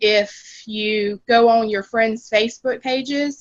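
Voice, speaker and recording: A Florida accent, fairly even intonation and a very slow pace. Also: woman. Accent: Gainesville accent, noticeable. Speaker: team member, HR worker. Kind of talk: video call sharing tips. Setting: video call on phone. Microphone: phone connection cutting in and out.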